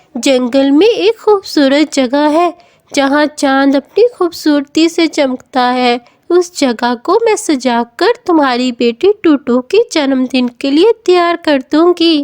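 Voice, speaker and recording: A woman puts on a cartoonish character voice, high in pitch, at a fairly slow pace with hardly any pauses. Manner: warm, kindly.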